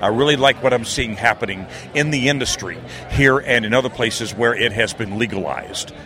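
Fairly even intonation from a man with a medium pitch and an American accent, amid noticeable background noise. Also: fairly quick pace. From northeastern US, near Philadelphia. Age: 60s. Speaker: radio broadcaster and military veteran. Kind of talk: interview. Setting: expo floor.

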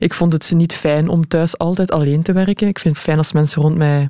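A woman's very deep, low voice carries a dark, mellow tone. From Belgium, Leuven (Flanders). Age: 30s. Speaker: sports presenter and footballer. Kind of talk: casual interview. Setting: radio studio.

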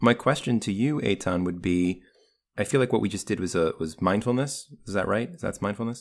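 On a very clean recording with a silent background, a man with a fairly low pitch speaks quickly, with lively intonation, in an ordinary speaking voice. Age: 30s. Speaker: podcast host. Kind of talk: casual chat.

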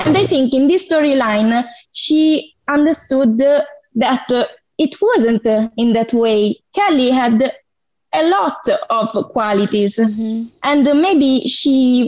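A woman with an Italian accent speaks high in pitch at a very slow pace, her intonation lively and her loudness very even. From southern Italy. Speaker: fan caller. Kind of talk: casual chat. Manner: halting.

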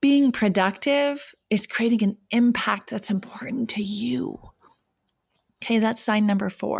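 At a fairly slow pace, a woman speaks in a warm, animated tone that is somewhat breathy. Her pitch is fairly high, with ordinary pitch variation. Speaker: life coach and podcast host. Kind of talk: coaching pep talk. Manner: animated, direct, motivational; warm, conversational, supportive.

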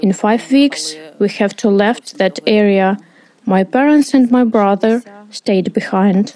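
A woman with a Ukrainian accent speaks at a very slow pace, her fairly high pitch carrying a dark, mellow tone, ordinary pitch variation and very even loudness. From eastern Ukraine, Donetsk region. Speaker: interpreter voicing a displaced coach. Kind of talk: dubbed testimony.

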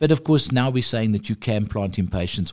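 A man speaks against a quiet background. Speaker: horticulture industry representative. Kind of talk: radio interview. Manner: calm and measured.

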